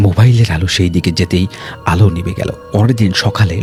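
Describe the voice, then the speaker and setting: With music in the background, a man speaks in a very deep, low pitch. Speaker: radio jockey. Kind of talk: horror story narration.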